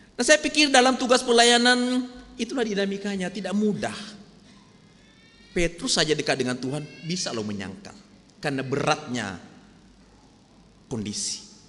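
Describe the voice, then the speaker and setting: A man talks at a high pitch with very wide pitch swings, at a moderate pace. His speech has long, frequent pauses over noticeable background noise. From North Sumatra, Medan. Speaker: pastor. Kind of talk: sermon. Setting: church.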